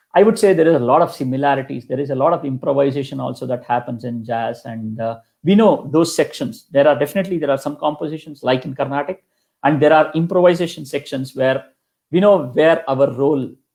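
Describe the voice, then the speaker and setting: Speaking at a very fast pace with a Kannada accent, a man with a fairly high pitch and ordinary pitch variation comes through on a very clean recording with a silent background. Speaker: kanjira percussionist. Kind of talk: interview. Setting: live stream interview.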